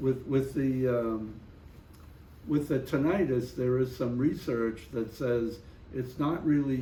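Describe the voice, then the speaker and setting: There's audible room echo as a man speaks at a very slow pace. His voice is somewhat breathy, with a dark, mellow tone. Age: 80s+. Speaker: Vietnam War veteran. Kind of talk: interview.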